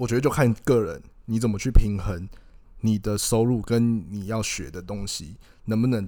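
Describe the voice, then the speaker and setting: Ordinary pitch variation marks this man's fairly low voice. His tone is dark and mellow. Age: 20s. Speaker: podcast co-host, freelance marketer. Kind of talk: casual chat.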